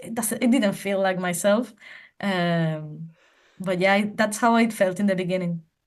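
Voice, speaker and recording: A woman with a Spanish accent, medium pitch and fairly even intonation. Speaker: language teacher. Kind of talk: interview. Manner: halting, many repetitions.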